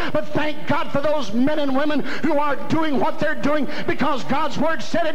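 With an American accent, a man speaks at a moderate pace in an extremely high pitch, his intonation fairly even over light background noise. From US South. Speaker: evangelist preacher. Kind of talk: revival sermon climax with call-and-response. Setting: church camp meeting with congregation. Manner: rhythmic repetition, punchy parallel phrases. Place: hall.

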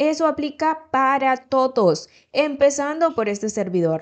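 Against a quiet background, a woman with a high pitch speaks at a fairly slow pace in an animated tone with very wide pitch swings. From El Salvador. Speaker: news commentary youtuber. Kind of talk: news commentary. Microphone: studio mic.

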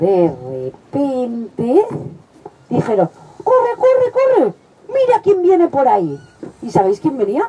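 Noticeable background noise sits under this recording. A woman speaks at a very slow pace. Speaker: children's storyteller. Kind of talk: storytelling performance with character voices. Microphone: headset.

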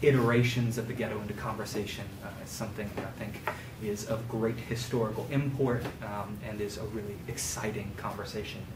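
Noticeable background noise accompanies speech that runs at a fairly quick pace. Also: man. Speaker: visiting history lecturer. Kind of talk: lecture. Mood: warm, grateful opening remarks. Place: classroom. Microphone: camera far.

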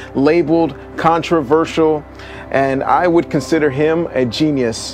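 A man is talking while music plays faintly behind him. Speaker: video host. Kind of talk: casual vlog chat. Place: open country. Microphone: lapel.

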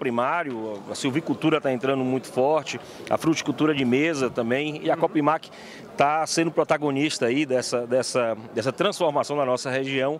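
A man's unremarkable speaking voice, fairly high for a man, at a moderate pace, dry with no echo, over light background noise. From Bahia, Brazil. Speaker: agricultural cooperative vice-president. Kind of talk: interview. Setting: event venue. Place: hall. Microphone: handheld.

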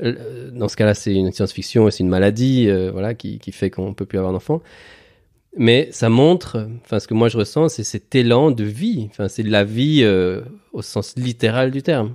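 A man's medium-pitched voice has a dark, mellow tone. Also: ordinary pitch variation, moderate pace. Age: 40s. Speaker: father interviewed about parenthood. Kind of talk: casual interview.

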